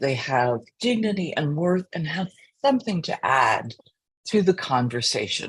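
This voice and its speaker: Her somewhat breathy voice carries lively intonation as the woman speaks. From US, child of immigrants. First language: not English. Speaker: teacher. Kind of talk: panel discussion. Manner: halting, many fillers.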